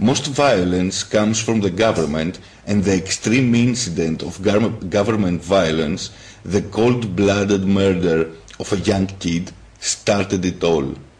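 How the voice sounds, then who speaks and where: A man with a Greek accent talks at a fairly slow pace, his pitch fairly low with ordinary variation. Noticeable background noise runs behind him. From Greece. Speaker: YouTuber, political activist. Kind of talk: political monologue.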